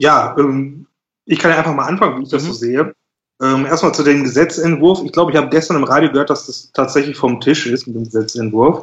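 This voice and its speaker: A man talks very fast in a fairly high voice, with ordinary pitch variation. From Germany, Schwelm (Ruhr area, NRW). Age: 20s. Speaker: remote worker. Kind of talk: casual chat.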